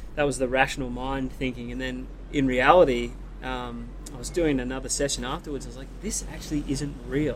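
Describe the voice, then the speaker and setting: The speech moves at a fairly quick pace with audible room echo. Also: man. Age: 30s. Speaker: big wave surfer. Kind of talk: casual chat.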